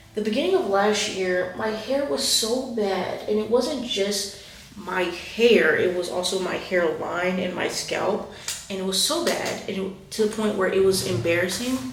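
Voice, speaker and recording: A woman talks at a moderate pace with ordinary pitch variation. Noticeable background noise and audible room echo are present. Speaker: hair care vlogger. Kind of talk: casual vlog tutorial. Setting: at home, echoey room.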